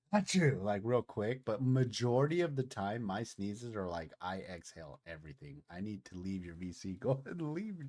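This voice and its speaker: Speaking with hardly any pauses, a man with a fairly low pitch swings widely in both pitch and loudness. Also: moderate pace. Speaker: gaming streamer. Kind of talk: casual chat. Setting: voice chat with friends.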